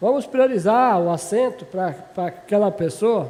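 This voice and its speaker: The speaker is a man with a high pitch. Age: 60s. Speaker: city councillor. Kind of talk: legislative debate speech. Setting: municipal council chamber session.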